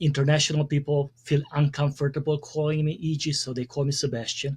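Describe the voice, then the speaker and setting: In a very clean recording with a silent background, a man with a Hungarian accent speaks at a fairly quick pace in a somewhat breathy, fairly high voice. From Hungary. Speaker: communication consultant and speaker. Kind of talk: podcast interview.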